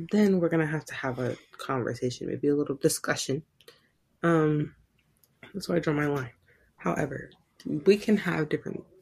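A woman with a very deep, low voice and ordinary pitch variation talks at a moderate pace, somewhat breathy, with long, frequent pauses. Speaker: podcast co-host. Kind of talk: casual chat. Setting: home recording.

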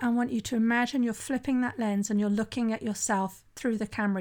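A woman speaks in a plain, everyday voice, fairly high in pitch with ordinary pitch variation. The recording is very clean, with a silent background. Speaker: sobriety coach and podcast host. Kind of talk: solo podcast monologue. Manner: conversational.

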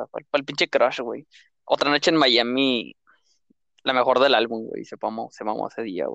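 A man talks at a moderate pace in a Mexican accent. The sound is dry and close, with no echo. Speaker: podcast co-host. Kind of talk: casual chat.

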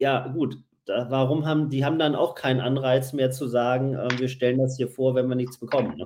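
A man's medium-pitched, monotone voice with flat intonation at a fairly quick pace. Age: 40s. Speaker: podcast host and magazine publisher. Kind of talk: casual chat.

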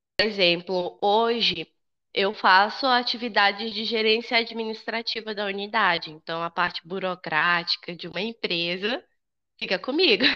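A woman speaks at medium pitch in a bright, sharp tone with ordinary pitch variation. Her pace is fairly slow against a quiet background. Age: 20s. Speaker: school administrator and psychology student. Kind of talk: casual interview.

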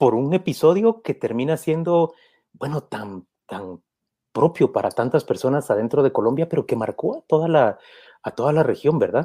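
Recorded dry and close with no echo and a silent background, a man speaks with a fairly high pitch, a dark, mellow tone and vocal fry. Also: moderate pace. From Guatemala. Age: 50s. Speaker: journalist, interviewer. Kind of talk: interview. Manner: halting, repeats words.

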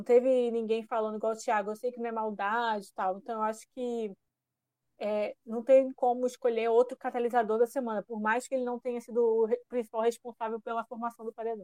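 In a Paraíba accent, a woman speaks at a fairly high pitch and fairly quick pace with a dark, mellow tone and monotone, flat intonation, in a dry, close recording with no echo over a quiet background. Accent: Paraíba (northeastern Brazilian). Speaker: podcast co-host. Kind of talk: casual chat.

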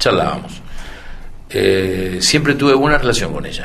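Noticeable background noise and audible room echo surround speech delivered at a fairly quick pace. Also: man. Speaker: veteran politician. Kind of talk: interview. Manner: halting.

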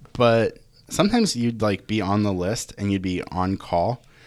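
A normal speaking voice moves at a fairly slow pace. The intonation stays fairly even. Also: man. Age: 20s. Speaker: graphic and web designer. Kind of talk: casual chat.

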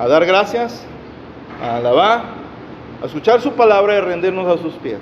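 Over noticeable background noise, a man talks at a moderate pace and a high pitch. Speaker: preacher. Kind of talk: sermon. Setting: church. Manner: animated, fervent; exhortative, call-and-response with congregation.

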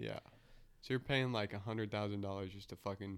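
At a fairly quick clip, a man talks with an unremarkable speaking voice pitched fairly low. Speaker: podcast host. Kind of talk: casual chat. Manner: profane, jokey.

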